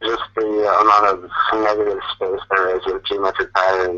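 A man with an American accent speaks at a fairly low pitch. His delivery is monotone and flat at a moderate pace. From Chicago area, US Midwest. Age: 20s. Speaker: visual artist. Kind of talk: interview, casual chat. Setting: voice call, audio only. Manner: halting, many fillers.

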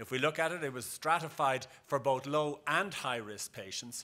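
A man with a bright, sharp tone, ordinary pitch variation and a moderate pace. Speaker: conference presenter. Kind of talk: lecture. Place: hall.

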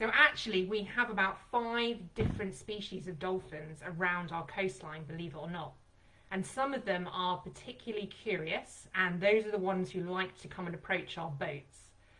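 At a moderate pace, a woman speaks with a bright, sharp tone and lively intonation. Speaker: presenter. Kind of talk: webinar presentation. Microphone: video call.

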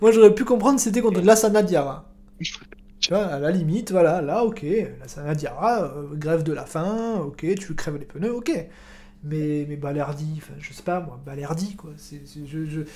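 A man's high-pitched voice with a dark, mellow tone, lively intonation, big swings in loudness, a moderate pace and long, frequent pauses, with audible room echo. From Marseille. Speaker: football podcast host and streamer. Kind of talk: casual live-stream football chat. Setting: live stream.

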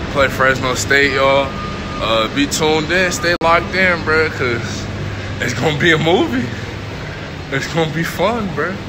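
Noticeable background noise sits behind a man's voice. He speaks fairly slowly with ordinary pitch variation. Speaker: college football player vlogger. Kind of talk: casual vlog chat. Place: station. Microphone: phone near.

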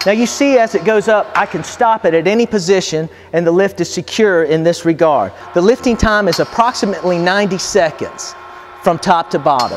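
A man at a high pitch with ordinary pitch variation and a fairly quick pace, over light background noise. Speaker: company product demonstrator. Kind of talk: product demonstration. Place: garage.

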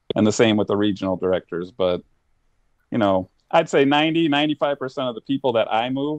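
A man speaks in an ordinary speaking voice with an American accent, using ordinary pitch variation at a moderate pace, recorded dry with no echo and a quiet background. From Ohio, Cleveland area. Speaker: cornhole league director. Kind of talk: casual chat. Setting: remote call. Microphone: video call.

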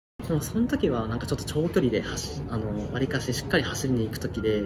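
Noticeable background noise behind a man's very fast talking. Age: 20s. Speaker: road cyclist. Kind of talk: interview answer. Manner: casual. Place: home room.

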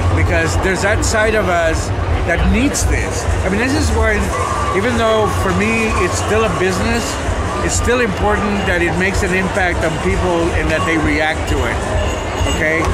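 Music plays in the background as a man speaks at a moderate pace. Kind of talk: interview answer. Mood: reflective, philosophical. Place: hall. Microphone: phone near.

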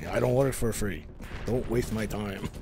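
A man puts on a character voice with a Russian accent, speaking in a fairly low voice. His pace is moderate, and there is clear background noise. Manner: curt.

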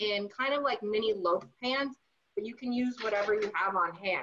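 At a moderate pace, a woman's bright, sharp voice shows ordinary pitch variation over light background noise. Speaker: cooking instructor. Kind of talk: tutorial. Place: kitchen. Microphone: camera far.

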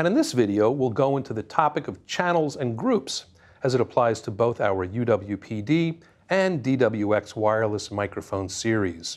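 Against a quiet background, a man talks at a fairly slow pace with lively intonation. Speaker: presenter. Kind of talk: tutorial. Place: studio. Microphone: lapel.

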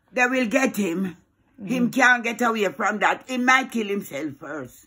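A woman with a Jamaican accent speaks in a fairly high pitch with lively intonation, a bright, sharp tone and some vocal fry against a quiet background. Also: fairly slow pace. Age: old. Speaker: grandmother. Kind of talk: reaction to video. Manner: angry, agitated. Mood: outraged, indignant. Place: home room.

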